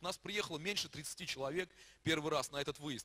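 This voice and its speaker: This man speaks at a very fast pace. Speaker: pastor. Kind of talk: church announcement. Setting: church. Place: church. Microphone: handheld.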